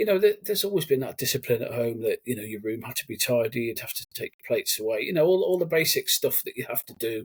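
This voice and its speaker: Talking very fast with hardly any pauses, a man speaks in a Brummie accent, his loudness swinging widely. The sound is dry and close, with no echo. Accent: Brummie twang. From Cannock, Staffordshire, England. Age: 40s. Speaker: army veteran. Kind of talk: casual interview chat.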